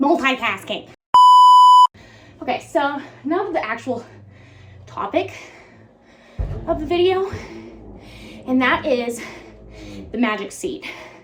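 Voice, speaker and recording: A woman's high pitch and lively intonation at a fairly slow pace, with long, frequent pauses and music in the background. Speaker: YouTuber, horse owner. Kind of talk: casual vlog monologue. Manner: informal, chatty.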